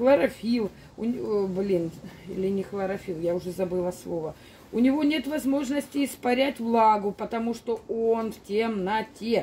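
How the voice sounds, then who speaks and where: Light background noise behind a woman at a fairly slow pace with ordinary pitch variation. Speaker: plant grower vlogger. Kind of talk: casual vlog chat. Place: garden. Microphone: phone near.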